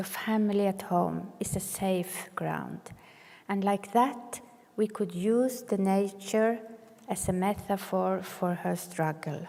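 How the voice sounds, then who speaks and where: Over noticeable background noise, a woman with a medium-pitched voice speaks at a very slow pace with fairly even intonation. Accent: Norwegian. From northern Norway. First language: Sami or Norwegian. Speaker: clinical social worker, keynote speaker. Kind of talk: keynote speech. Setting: conference stage with audience. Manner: some hesitations and repetitions.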